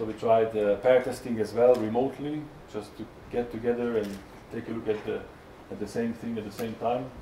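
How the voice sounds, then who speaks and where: With a Hungarian accent and a medium pitch, a man talks at a fairly quick pace in a monotone, flat intonation, his loudness swinging widely amid audible room echo. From Hungary. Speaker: software tester. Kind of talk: conference talk. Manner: halting, many fillers.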